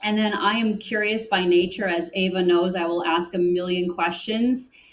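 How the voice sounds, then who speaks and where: A woman's medium-pitched voice with an American accent, at a moderate pace with fairly even intonation, over noticeable background noise. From US Northeast, Connecticut. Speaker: corporate sustainability director. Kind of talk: interview.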